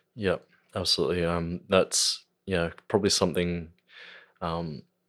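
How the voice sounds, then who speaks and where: A man with an Australian accent, a very deep, low pitch, and a moderate pace. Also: very clean recording, silent background. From Australia, Central Coast NSW. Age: young. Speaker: musician. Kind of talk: casual chat. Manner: halting.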